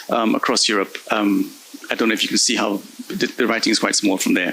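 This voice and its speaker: Noticeable background noise sits behind this man as he talks fairly quickly. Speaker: invited conference speaker, research data project manager. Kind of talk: conference presentation. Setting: conference stage with audience. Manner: fast.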